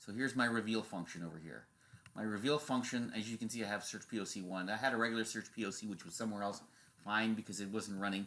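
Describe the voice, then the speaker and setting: A bright, sharp tone at a very fast pace with fairly even intonation. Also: man. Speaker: tech show host. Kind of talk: screen-share tutorial. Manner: casual, halting with fillers.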